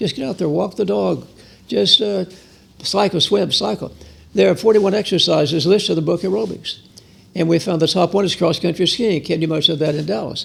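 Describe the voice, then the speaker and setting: A man's high-pitched voice at a fairly quick pace, with ordinary pitch variation. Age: 80s+. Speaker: physician, fitness pioneer. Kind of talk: interview answer.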